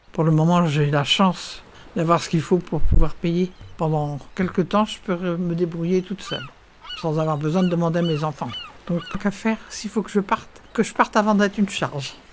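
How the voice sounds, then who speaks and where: Noticeable background noise runs through the clip. The woman speaking has a fairly low pitch. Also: ordinary pitch variation, moderate pace. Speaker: retirement home resident. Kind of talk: interview testimony.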